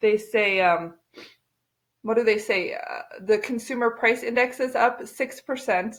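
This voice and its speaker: A woman's unremarkable speaking voice, fairly high in pitch, with lively intonation at a fairly slow pace. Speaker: real estate agent. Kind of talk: casual to-camera talk.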